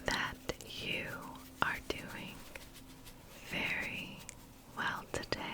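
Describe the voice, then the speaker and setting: Very slow whispered speech amid noticeable background noise, broken by long, frequent pauses. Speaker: ASMR creator. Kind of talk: ASMR tapping video chat. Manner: soft-spoken.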